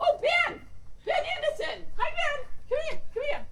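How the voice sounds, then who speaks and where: A woman does a squeaky, put-on character voice at an extremely high pitch with very wide pitch swings, speaking at a moderate pace over light background noise. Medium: stage play. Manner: gushing, effusive.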